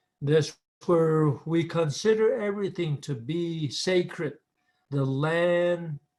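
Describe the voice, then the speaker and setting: Speaking very slowly with an American accent, a man is heard in a very clean recording with a silent background. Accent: Navajo English. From Navajo Nation, US Southwest. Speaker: spiritual leader. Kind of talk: recorded talk. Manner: halting.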